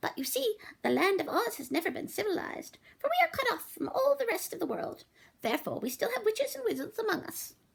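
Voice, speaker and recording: A squeaky put-on character voice jumps through very wide pitch swings. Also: woman. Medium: read story. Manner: gentle, kindly.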